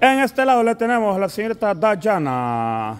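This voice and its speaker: Crowd noise runs in the background. A man talks in a high voice. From El Salvador. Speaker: family vlogger. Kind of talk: casual chat. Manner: animated. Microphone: phone near.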